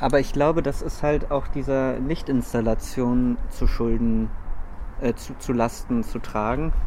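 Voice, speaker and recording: A man speaks at a fairly slow pace. Audible room echo and noticeable background noise surround his voice. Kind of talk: casual chat. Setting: outdoors on a lookout tower at night.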